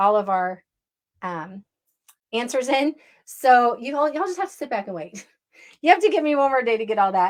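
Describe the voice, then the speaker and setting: Her intonation is lively as the woman talks. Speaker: network marketing coach. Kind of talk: online training session. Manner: fast.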